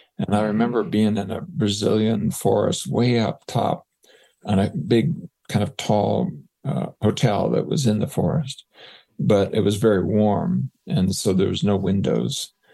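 A man speaks slowly at a fairly low pitch, with very wide pitch swings and vocal fry. His tone is dark and mellow. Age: 70s. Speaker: psychologist and researcher. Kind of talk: interview.

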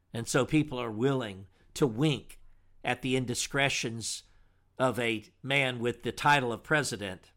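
A man's medium-pitched voice in an American accent, bright and sharp in tone, at a fairly slow pace with fairly even intonation, on a very clean recording with a silent background. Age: 60s. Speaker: pastor and radio host. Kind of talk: radio monologue. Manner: formal.

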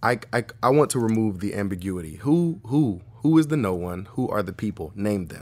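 At a moderate pace and with hardly any pauses, a man in an unremarkable speaking voice talks at a fairly low pitch with lively intonation and big swings in loudness, in a very clean recording with a silent background. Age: 30s. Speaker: drummer and music educator. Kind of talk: live interview conversation. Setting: live studio audience.

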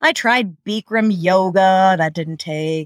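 A woman with an American accent has a normal speaking voice, a fairly low pitch, a fairly slow pace and ordinary pitch variation, with a dry, close sound and no echo. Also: very clean recording, silent background. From New York. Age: 40s. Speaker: quilter. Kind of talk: interview.

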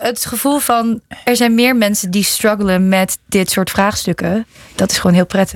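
A woman's ordinary speaking voice, medium in pitch, at a moderate pace with fairly even intonation, very even loudness, and a dry, close sound with no echo. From Netherlands. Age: young. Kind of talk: interview.

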